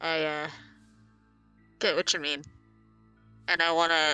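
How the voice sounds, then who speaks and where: A woman performs a put-on character voice, very deep and low, with monotone, flat intonation. She keeps a moderate pace over faint music in the background. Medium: actual play. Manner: earnest, plain-spoken.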